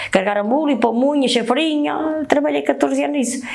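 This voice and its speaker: Room echo is audible, and there is noticeable noise in the background. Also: woman. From northern Portugal, Oliveira de Azeméis area. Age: 60s. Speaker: baker. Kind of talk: interview testimony. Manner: halting.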